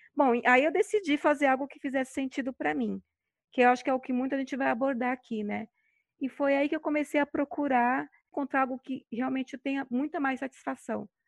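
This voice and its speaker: A woman speaks at a fairly quick pace in a high voice with fairly even intonation and big swings in loudness, the sound dry and close with no echo over a quiet background. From Brazil, São Paulo. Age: 40s. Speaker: podcast host, virtual assistant. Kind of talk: casual chat.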